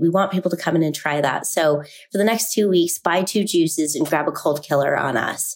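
A woman with an American accent uses a normal speaking voice, fairly low in pitch with ordinary pitch variation, at a moderate pace. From Salt Lake City, Utah. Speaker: juice shop founder. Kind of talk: sponsored interview.

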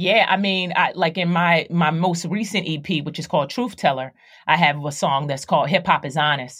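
In a normal speaking voice, a woman with an American accent talks at a moderate pace and fairly low pitch with ordinary pitch variation, on a very clean recording with a silent background. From Philadelphia, US East Coast. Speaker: actress and rapper. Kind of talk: casual interview.

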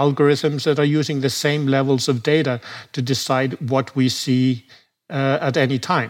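Recorded very cleanly against a silent background, a man with a plain, everyday voice speaks at a fairly high pitch and a moderate pace, with ordinary pitch variation. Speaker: browser company founder interviewed about online surveillance. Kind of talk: interview.

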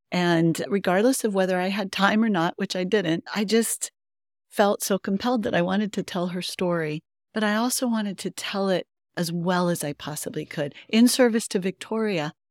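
A normal speaking voice goes at a moderate pace with ordinary pitch variation, in a very clean recording with a silent background and a dry, close sound with no echo. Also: woman, medium pitch for a woman. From Colorado. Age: 50s. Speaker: novelist and literature teacher. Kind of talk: interview. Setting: live before a bookstore event.

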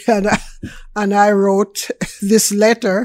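A woman with a Jamaican accent speaks at a fairly slow pace and a fairly high pitch, in a very clean recording with a silent background. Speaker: food business owner, guest. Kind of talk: casual interview chat. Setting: radio studio.

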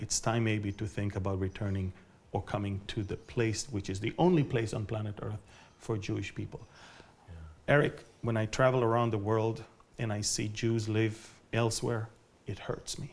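A man's fairly low, somewhat breathy voice with an Israeli accent, at a moderate pace and with fairly even intonation. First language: Hebrew. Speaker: Bible prophecy teacher. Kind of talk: interview. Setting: at his home.

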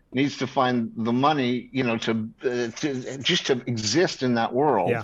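A man with a plain, everyday voice and an American accent, medium in pitch with ordinary pitch variation, against a quiet background. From New York. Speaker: screenwriter. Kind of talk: casual interview.

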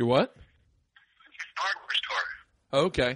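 A man's bright, sharp voice with ordinary pitch variation. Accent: American. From Florida. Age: 40s. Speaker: comedian and podcast host. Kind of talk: casual chat. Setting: studio.

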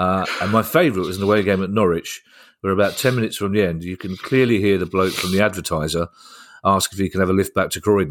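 A very fast-talking man with a very deep, low pitch and ordinary pitch variation, in a very clean recording with a silent background. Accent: London. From South London. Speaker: comedian and podcast host. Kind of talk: casual chat.

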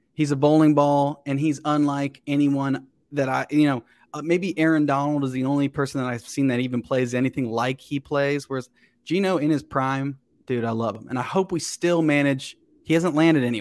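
In a very clean recording with a silent background, a man with an American accent and a fairly high pitch talks at a fairly quick pace with fairly even intonation in a plain, everyday voice. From Cincinnati area, Ohio. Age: 30s. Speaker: comedian. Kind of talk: casual chat.

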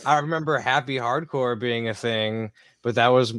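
In a dry, close sound with no echo, a man with an American accent uses a normal speaking voice, fairly even intonation and a fairly quick pace. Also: quiet background. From Pennsylvania, US. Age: 30s. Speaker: musician. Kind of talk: casual chat.

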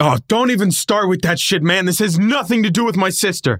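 A man talks at a fairly quick pace in a high pitch, with ordinary pitch variation. His loudness stays very even, and the sound is dry and close with no echo. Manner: panicked, yelling.

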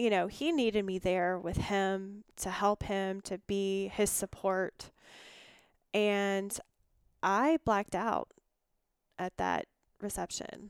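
A woman speaks very slowly with a Southern US accent, with long, frequent pauses and fairly even intonation at medium pitch. The recording is very clean, with a silent background and a dry, close sound with no echo. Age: 40s. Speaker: guest sharing recovery story. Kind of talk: testimony.

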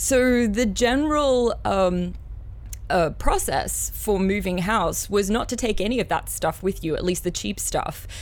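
Music plays in the background as a woman with an Australian accent speaks at a fairly slow pace. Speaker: composer and amateur archaeologist. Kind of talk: casual chat. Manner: excitable.

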